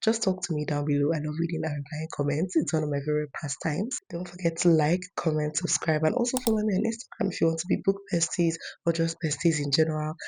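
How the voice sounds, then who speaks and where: A very fast, somewhat breathy voice with a dark, mellow tone, ordinary pitch variation and hardly any pauses. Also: woman, fairly low pitch for a woman. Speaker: book youtuber. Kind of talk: casual vlog talk to camera.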